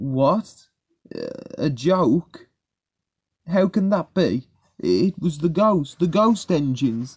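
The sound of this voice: A man does a put-on character voice, slightly husky with a slightly mellow tone and big pitch swings. He talks at a slow pace with long, frequent pauses. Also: fairly high pitch for a man.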